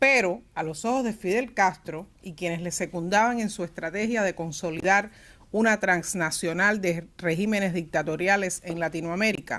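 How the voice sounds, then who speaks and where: A woman with a Cuban accent at medium pitch and a moderate pace, ordinary pitch variation, in a very clean recording with a silent background. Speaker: panelist at a press freedom forum. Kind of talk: forum presentation. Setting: forum at an institute venue.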